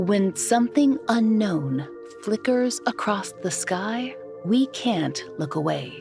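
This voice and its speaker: A woman talks very slowly while music plays in the background. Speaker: podcast host. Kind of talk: documentary storytelling narration.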